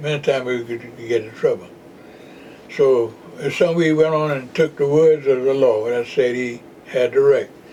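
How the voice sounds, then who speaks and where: Noticeable background noise fills the recording. The speaker talks at a moderate pace with fairly even intonation. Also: man. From Jacksonville, Florida. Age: 90s. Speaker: retired postal worker and voter registration activist. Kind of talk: oral history interview answer.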